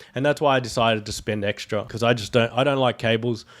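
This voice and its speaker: A man with an Australian accent, medium pitch, fairly even intonation and a very fast pace, on a very clean recording with a silent background. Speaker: tech YouTuber. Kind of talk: tutorial; casual chat. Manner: casual.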